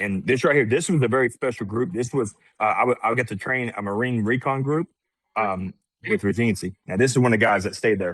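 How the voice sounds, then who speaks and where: A man at a very fast pace with ordinary pitch variation and a dry, close sound with no echo. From Arkansas, raised Texan. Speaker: minister and combat veteran. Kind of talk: interview. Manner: halting, many repeated words.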